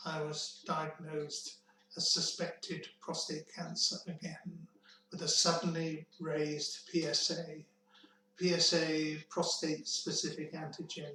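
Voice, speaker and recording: A man speaks at a high pitch with monotone, flat intonation. Background noise is noticeable. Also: fairly slow pace. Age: 70s. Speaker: cancer survivor telling his story. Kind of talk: personal testimony. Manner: measured, with hesitations.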